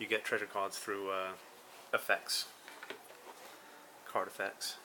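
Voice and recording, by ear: Slow and fairly low, this man's voice shows little pitch movement. His tone is bright and sharp.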